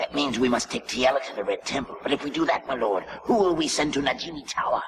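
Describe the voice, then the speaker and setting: A put-on character voice at a fairly quick pace. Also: man. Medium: fan dub. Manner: deferential.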